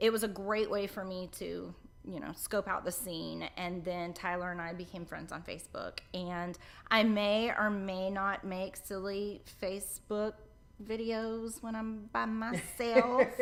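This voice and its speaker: Speaking with a slight Southern US accent, a woman keeps a medium pitch, ordinary pitch variation and a fairly slow pace. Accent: Southern US accent, mild drawl. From central Florida. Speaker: hairdresser and show co-host. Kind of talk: casual interview. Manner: animated.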